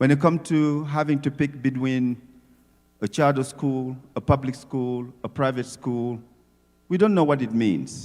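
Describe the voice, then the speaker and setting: A man with an African accent, at a medium pitch and fairly slow pace, with ordinary pitch variation. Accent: non-native English accent, African. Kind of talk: speech at community event. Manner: animated, emphatic.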